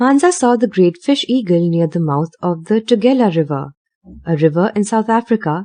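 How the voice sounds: Lively intonation in a natural reading voice, set against a quiet background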